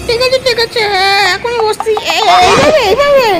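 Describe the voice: A cartoonish character voice speaks at a moderate pace with an extremely high pitch.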